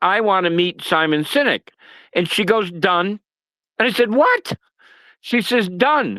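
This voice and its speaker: A man's raised, projected voice in an American accent, high-pitched with a bright, sharp tone and lively intonation, at a moderate pace, dry and close with no echo on a very clean recording with a silent background. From US Northeast (Massachusetts). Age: 70s. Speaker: retired sales executive, political activist. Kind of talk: casual chat.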